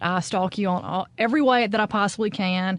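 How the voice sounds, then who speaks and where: Here is a woman with a normal speaking voice at a medium pitch. Her pace is moderate and her pitch variation ordinary. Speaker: podcast host. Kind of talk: podcast interview host.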